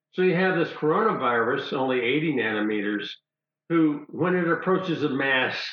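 Audible room echo surrounds a man whose fairly high voice has lively intonation. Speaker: retired plastic surgeon. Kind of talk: interview explanation.

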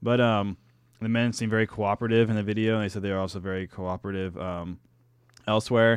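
This man talks at a very fast pace in a fairly low pitch, with an American accent. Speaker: podcast host. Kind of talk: casual chat, interview. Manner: animated, upbeat.

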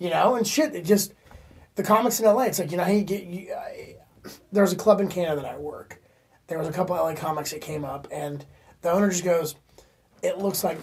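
At a fairly quick pace but with long, frequent pauses, a man with an American accent speaks in an animated tone at a high pitch, with ordinary pitch variation and big swings in loudness. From Florida. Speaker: stand-up comedian. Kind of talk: casual chat.

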